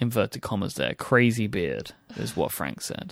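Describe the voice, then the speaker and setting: On a very clean recording with a silent background and a dry, close sound with no echo, a man speaks with an English accent. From England. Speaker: podcast host. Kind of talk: casual chat. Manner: playful.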